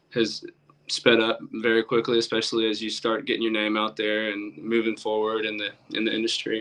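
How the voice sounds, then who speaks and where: A man with an American accent, medium pitch, and a fairly quick pace. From Alabama, US South. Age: 20s. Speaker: country musician. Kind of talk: casual interview chat. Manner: hesitant, many fillers.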